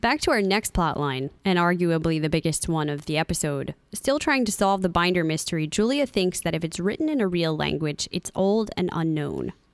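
An unremarkable speaking voice with lively intonation, a moderate pace and hardly any pauses. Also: woman, fairly low pitch for a woman. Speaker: podcast host. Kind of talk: casual podcast episode review.

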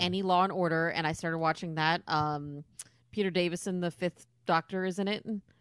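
Fairly low in pitch, a woman talks at a fairly quick pace. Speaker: podcast guest. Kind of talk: casual chat.

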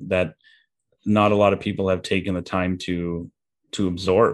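Against a quiet background, a man speaks at a moderate pace in a fairly low pitch with monotone, flat intonation. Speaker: business owner. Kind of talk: casual interview. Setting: remote call. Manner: meticulous with words.

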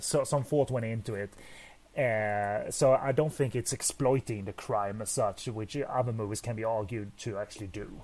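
A man speaks in a normal speaking voice at a medium pitch, with ordinary variation in his pitch. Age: 30s. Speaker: film podcast co-host. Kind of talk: casual chat.

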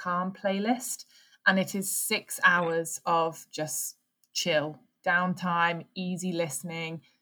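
A woman's bright, sharp tone at a medium pitch, with ordinary pitch variation, on a very clean recording with a silent background. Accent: English. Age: 20s. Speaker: podcast host. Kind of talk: casual chat.

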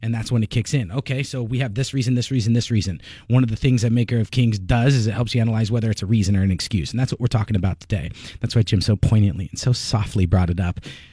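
In a very clean recording with a silent background, a man with a dark, mellow tone and medium pitch speaks at a very fast pace, somewhat breathy, with ordinary pitch variation. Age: 30s. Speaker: businessman being mentored. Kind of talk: radio talk show discussion. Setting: radio studio.

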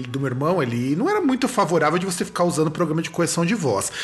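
A man speaks with noticeable noise in the background. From Rio Grande do Sul, Brazil. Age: 30s. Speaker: podcast host and music teacher. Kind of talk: casual interview chat.

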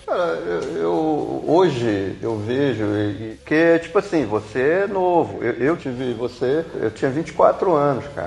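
A man speaks very slowly at a fairly high pitch, his voice swinging very widely in pitch. Noticeable background noise runs under the recording. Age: 50s. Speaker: visual artist and tattoo artist. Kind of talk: casual chat.

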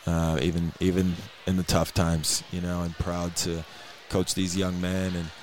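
With noticeable background noise, a man with a very deep, low voice speaks at a moderate pace in a monotone, flat intonation. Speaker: basketball coach. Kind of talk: post-game radio interview. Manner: reflective, hesitant, subdued after loss.

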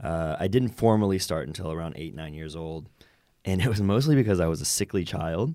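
Very deep, low male voice with an American accent, dark and mellow in tone, lively intonation, big swings in loudness, at a fairly quick pace. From US South, Roanoke, Virginia. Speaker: actor and stuntman. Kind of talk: interview conversation. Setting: studio.

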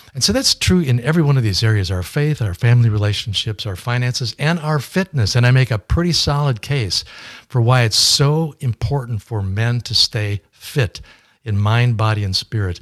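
A man at medium pitch talks at a moderate pace with lively intonation and a somewhat breathy voice. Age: 70s. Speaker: fundraising consultant and author. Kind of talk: interview. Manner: hesitant, filler words.

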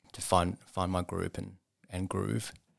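Male speech in an Australian accent, very cleanly recorded against a silent background. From Sydney, Australia. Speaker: charity rehab centre CEO and ultramarathon runner. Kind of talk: interview. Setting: studio.

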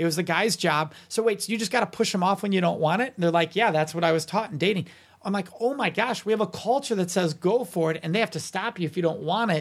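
A man speaks at a very fast pace with a high pitch, ordinary pitch variation and hardly any pauses. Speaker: consent educator and author. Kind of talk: interview. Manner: articulate, practiced speaker.

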